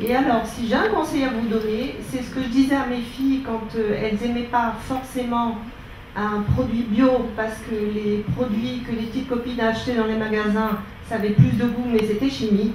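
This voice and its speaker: A woman's fairly high voice, monotone and flat, at a moderate pace, with audible room echo and noticeable background noise. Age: 60s. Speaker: audience member. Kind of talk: testimony.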